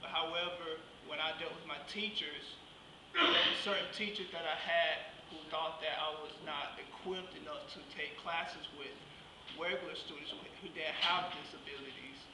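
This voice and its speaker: A man with an American accent talks at a moderate pace. Loud background noise fills the recording. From southwest Georgia, US South. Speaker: guest speaker, vocational rehabilitation client. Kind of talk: speech at a luncheon. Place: hall. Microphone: camera far.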